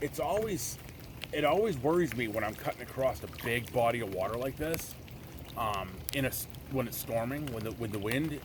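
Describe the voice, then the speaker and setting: At a fairly quick pace, a man talks at a medium pitch with ordinary pitch variation, amid audible room echo and noticeable background noise. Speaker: outdoor adventure vlogger. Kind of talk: casual vlog narration. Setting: outdoors, kayaking in rain. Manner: loud.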